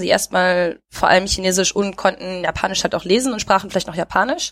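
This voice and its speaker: The voice is a plain, everyday voice with ordinary pitch variation. It moves at a fairly quick pace. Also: woman. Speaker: podcast host. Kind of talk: casual chat. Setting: recorded remotely, separate locations. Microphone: new headset recording set.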